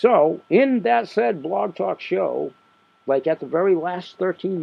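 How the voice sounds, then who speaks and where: Pitched fairly high, a man speaks at a fairly slow pace with very wide pitch swings. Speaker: independent sales marketer. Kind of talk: podcast monologue. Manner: rambling, conversational.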